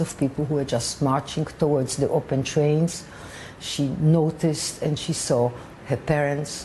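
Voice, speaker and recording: A woman with a very deep, low pitch speaks in a monotone, flat way at a moderate pace, over noticeable background noise. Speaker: daughter of a Holocaust survivor. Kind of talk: interview answer.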